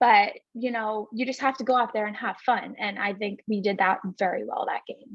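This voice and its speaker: At a moderate pace with hardly any pauses, a woman with a Long Island accent speaks with fairly high pitch and fairly even intonation. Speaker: college softball player. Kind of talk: interview.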